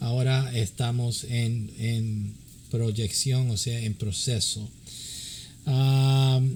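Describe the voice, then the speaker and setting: A man speaks here. His voice is somewhat breathy. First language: English (speaking Spanish). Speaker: pastor and church counselor. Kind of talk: religious teaching. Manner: halting, many fillers.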